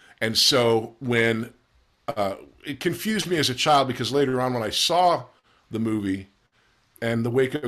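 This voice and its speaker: A man with a normal speaking voice talks at medium pitch, with ordinary pitch variation, on a very clean recording with a silent background. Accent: American. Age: 50s. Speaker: actor. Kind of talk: casual chat.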